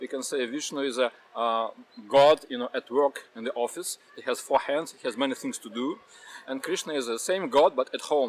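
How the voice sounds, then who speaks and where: A man with a fairly high voice speaks at a moderate pace with ordinary pitch variation, with noticeable background noise behind him. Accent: Russian. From Russia. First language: Russian. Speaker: Hare Krishna devotee. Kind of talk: interview answer.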